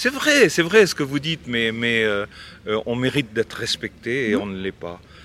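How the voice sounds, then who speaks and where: Speech comes at a moderate pace with ordinary pitch variation. Noticeable background noise sits behind it. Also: man, medium pitch for a man. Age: 70s. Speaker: dairy farmer. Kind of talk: interview.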